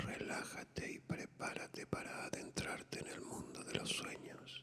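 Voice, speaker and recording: Someone is whispering at a fairly slow pace. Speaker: ASMR narrator, whispered reader of classic literature. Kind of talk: whispered bedtime story reading. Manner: whispered, soft, relaxing.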